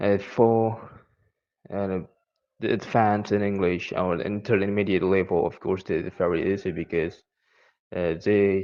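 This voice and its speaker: A man with an Indonesian accent, fairly low in pitch and fairly slow in pace, with fairly even intonation and long, frequent pauses. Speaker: English learner. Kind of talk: personal testimony. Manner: halting, many fillers.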